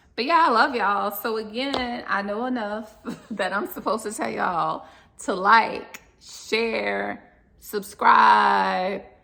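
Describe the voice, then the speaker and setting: In an American accent, a woman talks at a very slow pace, with audible room echo and noticeable background noise. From US South, New Orleans. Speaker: vlogger, expat who lived in Colombia. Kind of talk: casual monologue to camera. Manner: casual, chatty.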